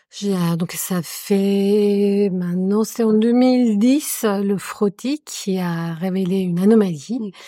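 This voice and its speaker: A woman with a Spanish accent, a dark, mellow tone and medium pitch, ordinary pitch variation, and a very slow pace. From Colombia. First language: Spanish (speaking French). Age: 40s. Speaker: adoptive mother. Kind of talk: casual chat.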